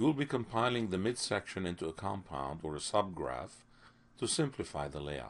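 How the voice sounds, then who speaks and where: A man talks at a moderate pace in a very deep, low pitch with vocal fry. His pitch swings very widely. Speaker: software tutorial instructor. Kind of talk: tutorial. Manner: clear, instructional.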